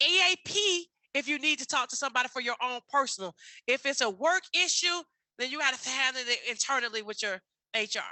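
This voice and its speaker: A woman speaks at a high pitch in an animated tone. Her intonation is lively. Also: fairly quick pace. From US South, Atlanta. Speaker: wellness seminar speaker. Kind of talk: workshop talk.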